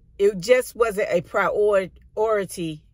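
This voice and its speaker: The sound is dry with no echo over a quiet background. A woman is speaking. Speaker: vlogger. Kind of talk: casual vlog chat. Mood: reflective, personal storytelling. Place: car. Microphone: phone near.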